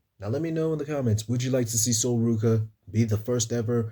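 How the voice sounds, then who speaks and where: A man talks at a very fast pace. His tone is dark and mellow, and somewhat breathy. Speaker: wrestling YouTuber. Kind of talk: casual show review. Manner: animated; stumbling over words.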